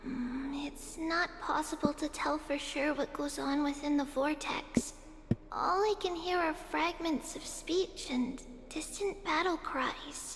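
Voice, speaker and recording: Using a put-on character voice in a high pitch, a woman speaks at a fairly slow pace over clear background noise. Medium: video game.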